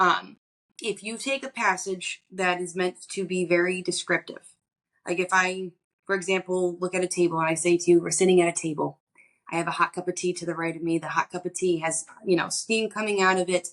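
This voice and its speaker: Speaking at a fairly quick pace, a woman keeps a fairly low pitch in a monotone, flat intonation. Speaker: psychic medium. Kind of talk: interview. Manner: fast.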